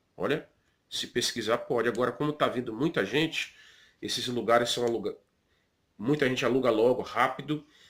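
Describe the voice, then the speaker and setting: On a very clean recording with a silent background, a man with a Brazilian accent speaks at a moderate pace and medium pitch, with fairly even intonation and long, frequent pauses. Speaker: pastor and vlogger. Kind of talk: informal advice vlog. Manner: conversational, with many fillers.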